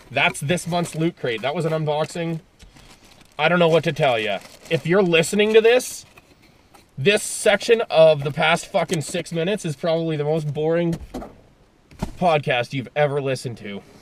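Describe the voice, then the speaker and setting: Over noticeable background noise, a man with a fairly high pitch and lively intonation speaks at a moderate pace, leaving long, frequent pauses. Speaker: podcast host and movie reviewer. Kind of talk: casual solo podcast in car. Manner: casual, hesitant with fillers.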